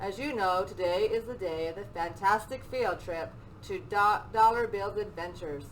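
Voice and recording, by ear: The voice reads aloud. It comes across as natural.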